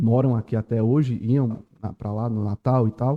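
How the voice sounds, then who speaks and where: A man's medium-pitched voice at a very slow pace. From Pernambuco backlands, northeast Brazil. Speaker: lawyer. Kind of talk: podcast interview.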